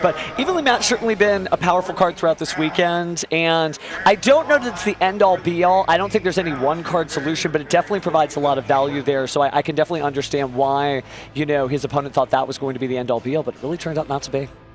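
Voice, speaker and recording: Noticeable background noise accompanies a man with a fairly high pitch talking at a very fast pace with ordinary pitch variation. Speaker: tournament commentator. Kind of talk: live commentary. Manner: animated.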